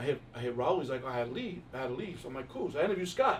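Here a man talks with a New York accent. His pace is very fast and his intonation lively. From New York, Queens. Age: 50s. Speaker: music industry executive. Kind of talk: casual interview.

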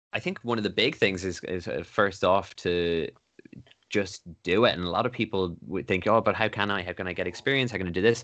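A man with an Irish accent speaks at a fairly quick pace in a fairly low pitch. His pitch varies in an ordinary way over a quiet background. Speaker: radio presenter. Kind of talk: casual chat. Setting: phone call.

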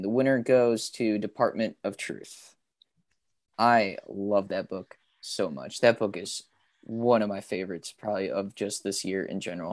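With a quiet background, a man speaks in an ordinary speaking voice at a moderate pace, with ordinary pitch variation and big swings in loudness. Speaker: comic book podcast co-host, guest. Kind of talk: casual chat. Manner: upbeat, cheerful.

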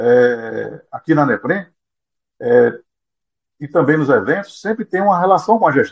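Fairly high male pitch with vocal fry and lively intonation. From Brazil, Pernambuco (Vicência). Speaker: association president, former biology teacher. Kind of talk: interview.

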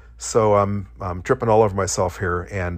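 On a very clean recording with a silent background, a man speaks. His fairly low pitch carries vocal fry. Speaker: podcast host. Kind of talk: solo podcast monologue. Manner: fast talker.

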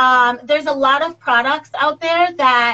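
Raised and projected, the voice has a bright, sharp tone and an American accent, moving at a fairly slow pace with ordinary pitch variation. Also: woman. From Jamaica, later Florida. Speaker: esthetician and business co-founder. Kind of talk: casual interview. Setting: live video call.

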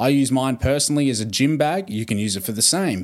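With an Australian accent, this man talks in a mid-range pitch. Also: very clean recording, silent background. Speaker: podcast host. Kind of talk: casual interview chat.

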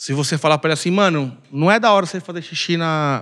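The pace is fairly quick, with ordinary pitch variation and an ordinary speaking voice. The background is quiet. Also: man. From Brazil, Belém, Pará. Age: 40s. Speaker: samba percussionist and bar owner. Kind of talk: casual chat. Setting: bar.

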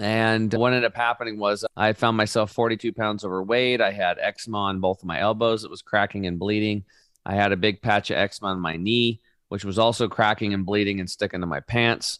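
An ordinary speaking voice from a man with an American accent, fairly low-pitched and fairly quick, with fairly even intonation and a dry, close sound with no echo in a very clean recording with a silent background. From Oregon, US. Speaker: health coach, product company founder. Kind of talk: interview.

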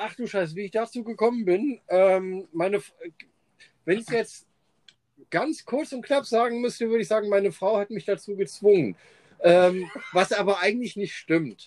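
Long, frequent pauses break up a man's moderate pace. His pitch is high, with ordinary variation. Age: 40s. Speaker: podcast co-host and fire performer. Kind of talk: casual chat.

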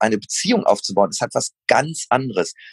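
A man's normal speaking voice at a fairly quick pace with lively intonation, dry and close with no echo. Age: 40s. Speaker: running shoe company founder. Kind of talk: casual interview.

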